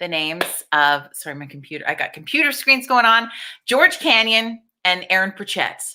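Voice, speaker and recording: With a Canadian accent, a woman speaks in an animated tone that sounds bright and sharp. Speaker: livestream host, event promoter. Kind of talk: casual livestream chat.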